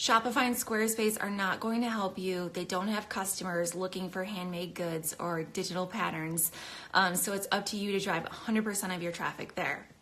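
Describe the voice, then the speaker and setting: A woman talks fairly quickly, with hardly any pauses, over noticeable background noise. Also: medium pitch for a woman, fairly even intonation. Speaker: craft business educator. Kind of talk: live stream tutorial. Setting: Instagram live video. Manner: fast; casual, filler-heavy.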